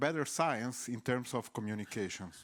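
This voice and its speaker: A man with a non-native accent, medium pitch and moderate pace, on a very clean recording with a silent background. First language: not English. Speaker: researcher asking from the audience. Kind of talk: audience question. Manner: halting.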